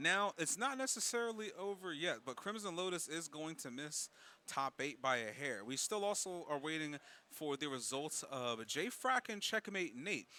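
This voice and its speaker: Loud and bright, a man's sharp voice sits fairly high in pitch. It swings very widely in pitch at a moderate pace. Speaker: esports tournament commentator. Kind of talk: live commentary. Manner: loud, carrying voice.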